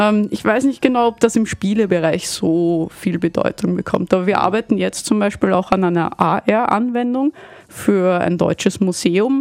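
A woman speaks at a moderate pace with medium pitch and ordinary pitch variation. The sound is dry and close with no echo, and there is noticeable background noise. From Vienna, Austria. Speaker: game studio founder. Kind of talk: radio interview. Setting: radio studio.

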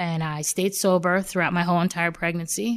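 Fairly even intonation in a New York accent, very clean recording, silent background. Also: woman. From Long Island, New York. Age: 40s. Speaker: recovering addict in rehab program. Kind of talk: testimony.

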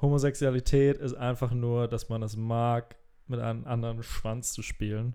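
A man's dark, mellow voice at a medium pitch, fairly slow in pace. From rural Germany, small village. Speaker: podcast co-host, comedian. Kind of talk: casual chat.

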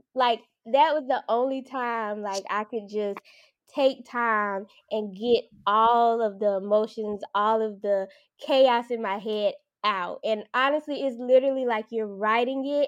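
Fairly slow speech from a woman with a fairly high pitch, against a quiet background. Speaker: new mother sharing birth story. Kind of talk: interview. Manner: lively.

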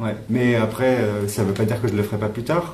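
Over audible room echo, a man speaks with a fairly low pitch and fairly even intonation. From France, countryside near Clermont-Ferrand. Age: 30s. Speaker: electronic musician. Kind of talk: interview.

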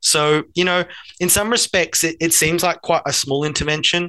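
A bright, sharp tone with an Australian accent against a quiet background. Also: man. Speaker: learning designer, former high school teacher. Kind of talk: casual interview.

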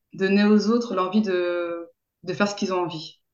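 This woman speaks at a medium pitch. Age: 30s. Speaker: sex therapist. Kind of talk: interview. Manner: halting, many fillers and repetitions.

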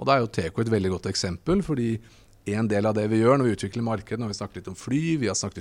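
Here is a man with a normal speaking voice. He speaks at a medium pitch with ordinary variation. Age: 40s. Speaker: hydrogen company CEO. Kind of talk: interview. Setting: trade fair stand.

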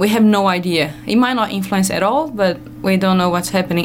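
A woman speaks in a medium pitch with a strong non-native accent and ordinary pitch variation. Noticeable background noise runs underneath. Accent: heavy foreign. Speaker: radio guest, ecologist. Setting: radio studio.

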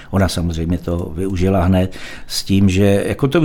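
A man's voice sits at a very deep, low pitch with a dark, mellow tone. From Czechia, Most (northern Bohemia). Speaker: folk musician and band manager. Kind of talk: casual interview. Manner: hesitant with fillers.

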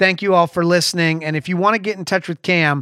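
A man's voice has a high pitch and a bright, sharp tone with ordinary pitch variation, recorded very cleanly against a silent background in a dry, close sound with no echo. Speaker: podcast host at a video production company. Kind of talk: casual interview. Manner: casual.

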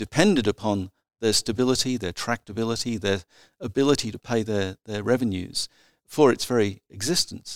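A man with an Australian accent, medium pitch, ordinary pitch variation and a moderate pace, in a dry, close sound with no echo. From South Australia. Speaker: military historian. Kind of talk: interview. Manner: halting.

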